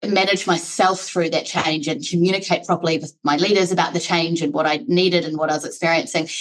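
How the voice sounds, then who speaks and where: Speaking at a very fast pace with hardly any pauses, a woman with a New Zealand accent uses a fairly low pitch and ordinary pitch variation. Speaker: HR executive. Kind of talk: podcast interview. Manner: conversational, many fillers.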